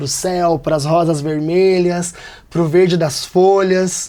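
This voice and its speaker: The recording is very clean, with a silent background. A man talks at a high pitch. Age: 30s. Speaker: storyteller. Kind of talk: interview.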